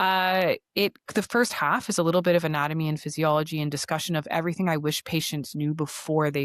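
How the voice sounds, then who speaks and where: Speaking at a fairly quick pace with a strong Canadian accent, a woman has a very deep, low pitch in a dry, close sound with no echo. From Canada. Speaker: osteopath. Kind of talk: podcast interview.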